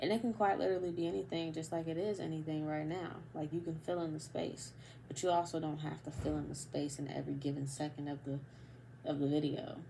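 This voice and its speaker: A woman talks at a very fast pace with a very deep, low pitch, vocal fry, and a dark, mellow tone. Her pitch varies in an ordinary way, and audible room echo surrounds her. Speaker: vlogger. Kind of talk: casual monologue. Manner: halting, pauses often.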